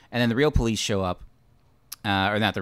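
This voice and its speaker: A man talks very fast on a very clean recording against a silent background. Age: 30s. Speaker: movie podcast host. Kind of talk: casual chat.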